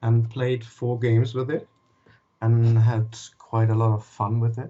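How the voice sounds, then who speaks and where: A somewhat breathy man in a German accent, medium in pitch, with fairly even intonation and a fairly slow pace. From Germany. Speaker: wiki moderator, gamer. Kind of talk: interview. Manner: halting.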